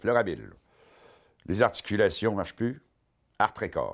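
A man's medium-pitched voice in a Quebec accent, at a moderate pace with ordinary pitch variation, over a quiet background. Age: 50s. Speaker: comedian and columnist; comedian. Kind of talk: comic monologue. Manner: animated. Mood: wry, joking. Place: studio.

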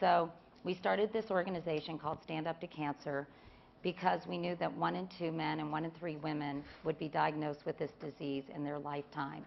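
A woman with a very deep, low voice and vocal fry talks at a fairly quick pace with ordinary pitch variation over light background noise. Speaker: philanthropist and cancer advocate; panelist. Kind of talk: panel talk. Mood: earnest, engaged. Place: stage. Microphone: lapel.

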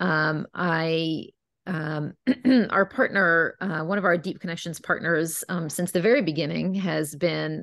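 A woman with a fairly low pitch and vocal fry speaks at a moderate pace with ordinary pitch variation, in a dry sound with no echo against a quiet background. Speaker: webinar host. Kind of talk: webinar introduction. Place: home room. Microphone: video call.

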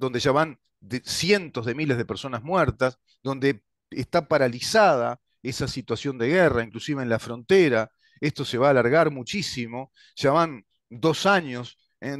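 In a dry sound with no echo and a quiet background, a man speaks at a fairly slow pace with ordinary pitch variation. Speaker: political commentator. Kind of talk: interview answer. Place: home room. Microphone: headset.

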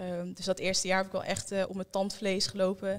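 A woman talks at a fairly quick pace. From Netherlands, Almelo (Twente); Netherlands. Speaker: young guest sharing experience; interview guest. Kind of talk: group conversation. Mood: reflective, calm. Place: studio. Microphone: handheld.

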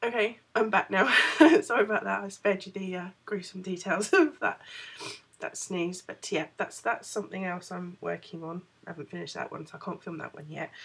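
A woman's voice at a fairly quick pace, with ordinary pitch variation and big swings in loudness. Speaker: crochet vlogger. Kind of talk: casual vlog chat. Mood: cheerful, laughing. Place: home room. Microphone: phone near.

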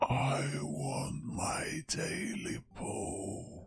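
Raspy and medium in pitch, a man speaks in a put-on character voice. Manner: eerie, demanding.

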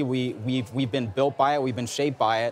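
With an American accent, a man talks at a fairly quick pace in a confident tone and fairly even intonation, the sound dry with no echo and light background noise. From Newark, New Jersey; New Jersey. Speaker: Rhodes Scholar; interviewee. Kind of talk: interview. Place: hall. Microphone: lapel.

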